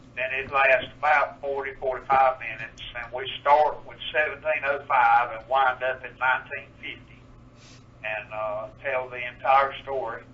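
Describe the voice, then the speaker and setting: A man with an eastern North Carolina accent talks at a moderate pace in a medium-pitched voice. His intonation is fairly even, while his loudness swings widely. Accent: rural eastern North Carolina dialect. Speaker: historical demonstrator. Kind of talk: radio interview.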